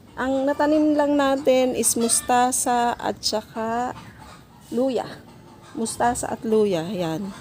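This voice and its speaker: A woman speaks at a very slow pace in a high pitch with ordinary pitch variation, over noticeable background noise. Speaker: gardening vlogger. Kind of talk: casual vlog tutorial. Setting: home garden.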